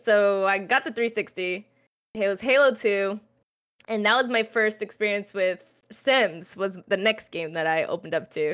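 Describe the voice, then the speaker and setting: With an ordinary speaking voice, a woman of medium pitch talks at a moderate pace with ordinary pitch variation. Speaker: streamer and esports caster. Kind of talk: casual chat. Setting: video call.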